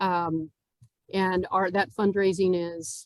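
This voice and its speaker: Here is a plain, everyday voice with ordinary pitch variation. The sound is dry and close, with no echo. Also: woman. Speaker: nonprofit CEO. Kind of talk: club talk.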